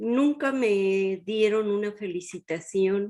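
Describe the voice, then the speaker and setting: A woman talks very slowly at a medium pitch. Her tone is dark and mellow. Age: 70s. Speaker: retired chemical engineer and teacher. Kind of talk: interview.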